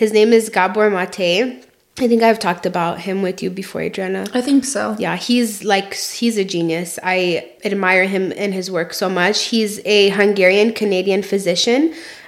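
Background noise is noticeable. Through it, a woman talks at a moderate rate. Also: medium pitch for a woman, ordinary pitch variation, hardly any pauses. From immigrant background. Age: 20s. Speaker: podcast co-host. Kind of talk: casual chat.

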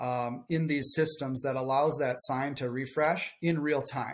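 A man speaks with a strong Minnesotan accent. His pace is fairly slow and his intonation fairly even. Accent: Minnesotan, thick. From southern Minnesota. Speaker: marketing and business development director. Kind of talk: casual interview chat.

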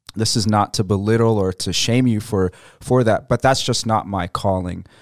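A man with an American accent speaks at a fairly low pitch, his intonation fairly even. The recording is very clean, with a silent background. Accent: American-sounding English. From Egypt. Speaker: missionary. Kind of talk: radio interview. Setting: studio.

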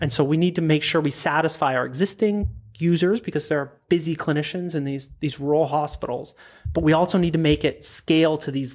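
With a Canadian accent and a normal speaking voice, a man talks at a fairly quick pace and a fairly high pitch, keeping his intonation fairly even. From Prince Edward Island, Canada. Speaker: product designer. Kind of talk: interview.

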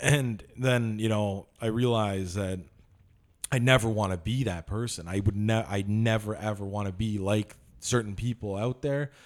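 This man has a normal speaking voice, fairly low in pitch and fairly even in intonation, delivered at a moderate pace. The recording is very clean, with a silent background. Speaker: podcast co-host. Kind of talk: casual banter.

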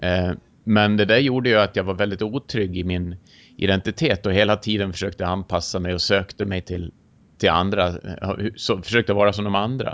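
This man talks in a fairly low voice with a Swedish accent. His intonation stays fairly even. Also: fairly quick pace. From rural Sweden. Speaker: podcast host. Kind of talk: interview.

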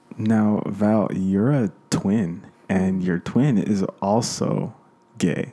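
Over noticeable background noise, a man with an American accent speaks very slowly at a fairly low pitch with ordinary pitch variation. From US, grew up in a Chicano neighborhood. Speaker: podcast host. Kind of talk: casual interview. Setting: guests' home.

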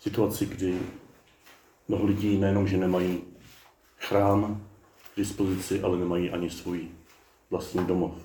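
A man's very deep, low, somewhat breathy voice, dark and mellow in tone, monotone and flat, at a moderate pace with long, frequent pauses. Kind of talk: sermon. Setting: outdoor garden chapel. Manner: warm, humorous.

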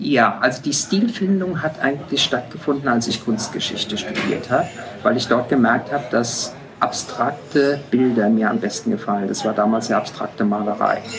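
Lively intonation carries this speech at a moderate pace, with noticeable background noise behind it. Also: man, medium pitch for a man. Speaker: photographer. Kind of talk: interview. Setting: restaurant. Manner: hesitant, many fillers.

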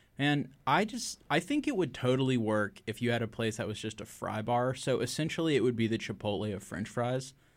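This man has a normal speaking voice, medium in pitch with ordinary pitch variation, and he moves along at a fairly quick pace. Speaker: podcast co-host. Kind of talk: casual podcast chat.

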